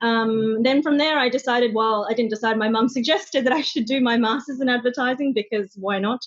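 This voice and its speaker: Talking at a fairly quick pace with hardly any pauses, a woman with an Australian accent keeps a high pitch, ordinary pitch variation and very even loudness. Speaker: social media manager. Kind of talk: interview. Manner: hesitant, many fillers.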